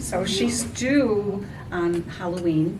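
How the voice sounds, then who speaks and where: With audible room echo and noticeable background noise, a woman speaks with lively intonation. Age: 70s. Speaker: knitting group member. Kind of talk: casual chat.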